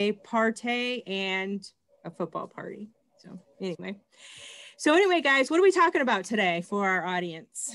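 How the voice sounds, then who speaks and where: A woman with an American accent speaks with lively intonation, long, frequent pauses and big swings in loudness. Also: moderate pace. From Michigan. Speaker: school librarian; host of group talk. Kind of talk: casual chat. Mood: warm, chatty. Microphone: video call.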